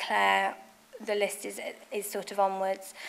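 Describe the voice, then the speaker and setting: A woman with a Nottingham accent at medium pitch, moderate pace, on a very clean recording with a silent background. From England, Nottingham. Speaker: fashion designer and business founder. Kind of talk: speech at business event. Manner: hesitant, many fillers.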